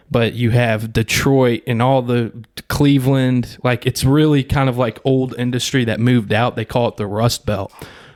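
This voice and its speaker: A man with an American accent speaks at medium pitch and a moderate pace in monotone, flat intonation. Music plays in the background, and the sound is dry and close with no echo. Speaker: podcast host. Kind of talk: casual chat.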